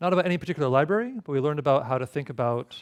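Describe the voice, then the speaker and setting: Against a quiet background, a man talks at a very fast pace, fairly high in pitch, with ordinary pitch variation. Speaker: tutorial instructor. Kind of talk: tutorial.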